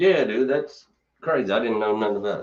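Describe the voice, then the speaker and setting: Using vocal fry, a man with a Kentucky accent speaks with very wide pitch swings. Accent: Kentucky twang. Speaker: podcast host. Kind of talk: casual chat. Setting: studio.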